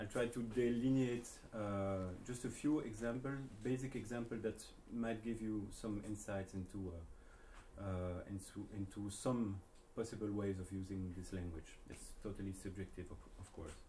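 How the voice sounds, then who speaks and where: Audible room echo surrounds a man speaking at a moderate pace, his fairly low pitch showing ordinary variation. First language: not English. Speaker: jazz saxophonist and researcher. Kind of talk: lecture. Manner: halting, many fillers.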